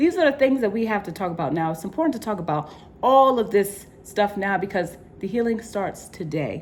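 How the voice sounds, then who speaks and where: This woman's intonation is lively. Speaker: vlogger. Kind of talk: personal vlog monologue. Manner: fast.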